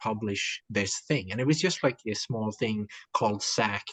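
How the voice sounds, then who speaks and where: A man with a Swedish accent speaks at a moderate pace, the sound dry and close with no echo. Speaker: writer. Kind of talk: interview. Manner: halting, many fillers and repetitions.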